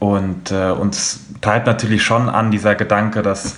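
A man speaks in a monotone with flat intonation. His pitch is fairly low and his pace moderate. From Frankfurt, Hesse. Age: 20s. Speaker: football fan representative. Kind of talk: podcast discussion.

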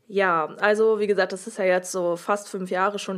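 A woman's normal speaking voice at medium pitch and moderate pace, with fairly even intonation, in a very clean recording with a silent background. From northern Germany (Oldenburg). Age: 20s. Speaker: interview guest sharing personal story. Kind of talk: personal testimony in interview.

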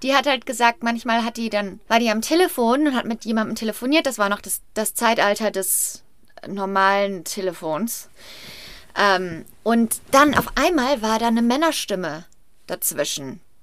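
On a very clean recording with a silent background, a woman with a plain, everyday voice and fairly high pitch speaks at a moderate pace with lively intonation. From Rhineland, western Germany. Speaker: podcast co-host. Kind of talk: casual storytelling chat.

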